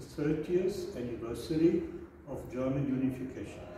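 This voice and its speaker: Amid light background noise and strong room echo, a man with a fairly high pitch speaks at a moderate pace with ordinary pitch variation. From Germany. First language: German. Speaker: author and scholar. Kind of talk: formal address. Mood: warm, celebratory. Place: office. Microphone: camera far.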